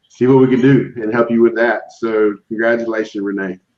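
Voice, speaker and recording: Speaking in a flat monotone at medium pitch, a man talks with an American accent. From South Carolina. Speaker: online seller group host. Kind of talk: live stream group chat, giveaway. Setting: live video stream. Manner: casual, hesitant with many fillers.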